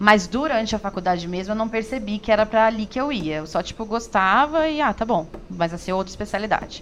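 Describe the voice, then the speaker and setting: The delivery is very fast, with hardly any pauses. Intonation stays lively throughout. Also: woman, fairly high pitch for a woman. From São Paulo, Brazil. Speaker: emergency medicine resident. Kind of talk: interview.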